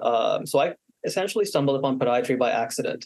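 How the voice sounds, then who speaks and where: At a fairly quick pace, a man uses an ordinary speaking voice of medium pitch with fairly even intonation. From Canada, Manitoba. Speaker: podiatric medical student. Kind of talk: interview.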